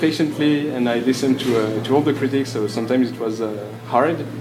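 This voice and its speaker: A man with a French accent speaks at a moderate pace in a medium pitch with fairly even intonation. Audible room echo and noticeable background noise fill the recording. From France. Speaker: author. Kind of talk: live panel discussion. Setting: convention stage with audience. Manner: halting.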